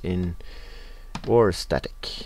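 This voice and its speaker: Here a man talks with a Norwegian accent. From Norway. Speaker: video game let's player. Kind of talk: gameplay commentary. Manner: casual, with frequent filler sounds.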